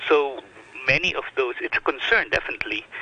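A man talks at a fairly quick pace, his voice dry and close with no echo, while noticeable background noise runs underneath. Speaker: professor. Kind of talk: radio interview. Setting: phone call.

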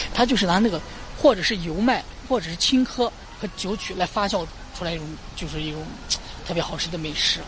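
A woman speaks fairly fast while noticeable background noise carries on. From Lanzhou, northwest China. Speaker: local tour guide. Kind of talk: guided tour.

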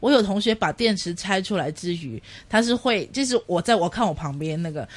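This woman has a Cantonese accent and a medium pitch, with very wide pitch swings. She speaks at a moderate pace against a quiet background. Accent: Cantonese-accented Mandarin. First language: Cantonese (speaking Chinese). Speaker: radio host. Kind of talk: casual chat.

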